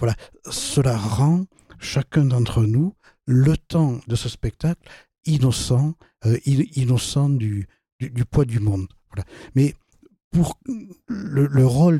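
At a very slow pace, a man speaks with a dark, mellow tone and a somewhat breathy quality, in dry, close sound with no echo. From southern France, Toulouse. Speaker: philosopher and author. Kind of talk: interview discussion. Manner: halting, many repetitions.

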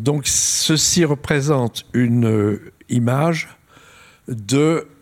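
With ordinary variation in his pitch, this man talks in a medium register. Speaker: astrophysicist. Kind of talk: lecture.

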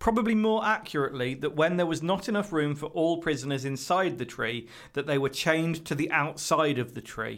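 The voice has a British accent and ordinary pitch variation. The recording is very clean, with a silent background. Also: man. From Britain. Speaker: podcast co-host. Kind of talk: reading aloud.

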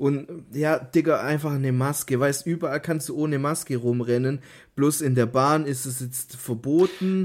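In a very clean recording with a silent background, a man speaks at a moderate pace in a fairly high pitch with fairly even intonation. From Stuttgart area, Swabia, southwest Germany. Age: 20s. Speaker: podcast co-host. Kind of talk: casual chat.

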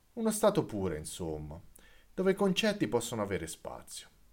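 A man speaks at a fairly quick pace. The recording is very clean with a silent background. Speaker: podcast host. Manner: exasperated, intense, building in force and emphasis on 'forse' and 'quasi violenta'.

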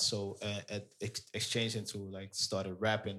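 A man speaks with a Dutch accent. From Amsterdam, Netherlands (Surinamese parents). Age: 30s. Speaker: DJ. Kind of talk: casual interview.

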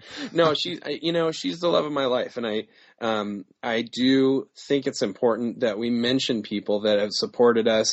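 A man of medium pitch talks at a moderate pace in a plain, everyday voice with ordinary pitch variation. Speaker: author. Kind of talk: interview.

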